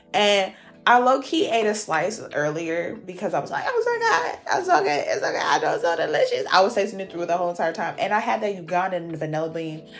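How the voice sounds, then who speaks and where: A woman with an American accent speaks at a fairly quick pace. She has hardly any pauses, and background noise is noticeable. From US South. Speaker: cooking YouTuber. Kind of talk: cooking tutorial. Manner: animated.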